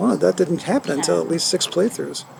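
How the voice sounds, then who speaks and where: A high-pitched man amid noticeable background noise. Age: 60s. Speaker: retired teacher and audiophile. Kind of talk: casual interview. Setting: hi-fi show floor. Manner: halting.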